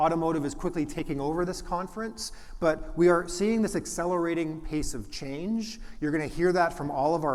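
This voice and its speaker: Audible room echo colors the sound. The speech moves at a moderate pace with ordinary pitch variation. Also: man. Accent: slight Canadian. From Canada, Toronto. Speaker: venture capitalist, conference presenter. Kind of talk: conference presentation. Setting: stage with audience. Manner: frequent fillers and restarts.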